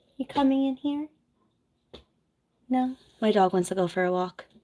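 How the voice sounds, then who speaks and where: A soft-spoken woman with an American accent and ordinary pitch variation. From New Jersey. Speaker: nurse and content creator. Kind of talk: casual livestream chat. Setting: home office livestream.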